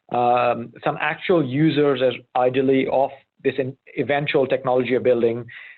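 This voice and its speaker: The intonation holds fairly even. A man talks in a medium pitch. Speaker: humanitarian learning innovator. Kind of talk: webinar presentation. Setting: online webinar. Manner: fast; halting, many restarts.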